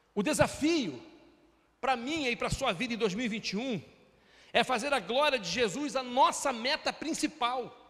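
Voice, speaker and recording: Extremely high in pitch, a man's voice moves at a moderate pace with ordinary pitch variation. He takes long, frequent pauses. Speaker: pastor. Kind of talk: sermon.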